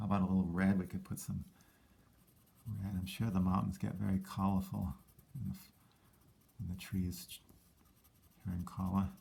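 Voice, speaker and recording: A man's very deep, low voice with a dark, mellow tone and vocal fry, at a moderate pace with long, frequent pauses and big swings in loudness. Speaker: teacher. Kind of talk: tutorial. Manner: casual, hesitant with fillers.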